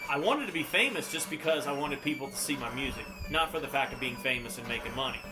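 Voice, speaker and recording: Audible room echo colors a man's voice. He speaks at a fairly quick pace against noticeable background noise. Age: 40s. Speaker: YouTuber and guitarist. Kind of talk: casual vlog commentary over gameplay. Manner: loud; relaxed, hesitant with fillers.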